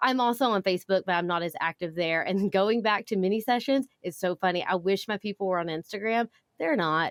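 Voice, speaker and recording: A woman's medium-pitched voice with a Southern US accent, fairly quick with hardly any pauses and ordinary pitch variation, on a very clean recording with a silent background and a dry, close sound with no echo. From US South. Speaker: photographer and business educator. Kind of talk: podcast interview. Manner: fast.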